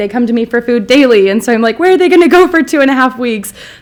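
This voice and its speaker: A woman talks loudly and very fast. Her pitch is high. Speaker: school site coordinator. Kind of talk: award acceptance speech. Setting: school board meeting.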